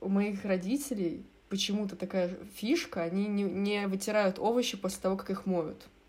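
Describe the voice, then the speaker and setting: A woman with an ordinary speaking voice talks at a moderate pace in a medium pitch. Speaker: design student. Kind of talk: casual chat.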